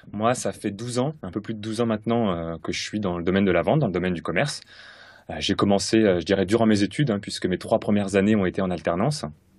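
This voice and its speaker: Over a quiet background, a man with a fairly low pitch speaks at a very fast pace with ordinary pitch variation. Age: 30s. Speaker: sales coach. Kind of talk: interview. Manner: hesitant, many fillers.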